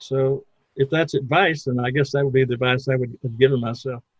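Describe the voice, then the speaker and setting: Somewhat breathy, a man speaks at a moderate pace in a fairly high pitch. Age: 70s. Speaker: entrepreneur and marketing consultant. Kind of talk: interview.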